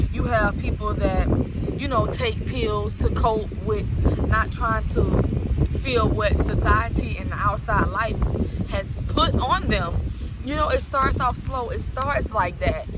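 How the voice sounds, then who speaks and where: A woman speaks at a very slow pace with noticeable background noise behind her. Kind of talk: casual talk to camera. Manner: earnest, serious.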